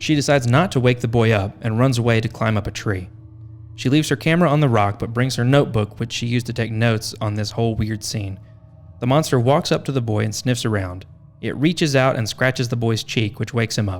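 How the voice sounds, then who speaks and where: Music plays in the background as a man talks at a fairly quick pace. His pitch is medium, with ordinary variation. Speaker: podcast host. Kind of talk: podcast narration.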